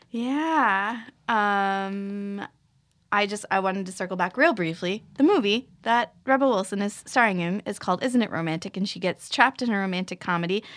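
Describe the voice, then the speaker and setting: Recorded very cleanly against a silent background, a woman uses a normal speaking voice at a medium pitch, with ordinary pitch variation and a moderate pace. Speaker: podcast host. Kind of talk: casual chat.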